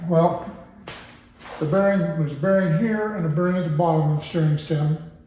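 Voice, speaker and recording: Fairly quick speech amid noticeable background noise and audible room echo. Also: man, high pitch for a man. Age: 60s. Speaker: motorcycle suspension expert. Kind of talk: tutorial. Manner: casual, hesitant with fillers.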